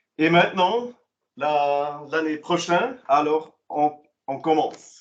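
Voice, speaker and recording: Speaking very slowly with a Swiss German accent, a man uses a fairly high pitch and ordinary pitch variation. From German-speaking Switzerland. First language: Swiss German (speaking French). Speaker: commission president, vocational training presenter. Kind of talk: online information session presentation. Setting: online meeting. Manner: halting, many hesitations.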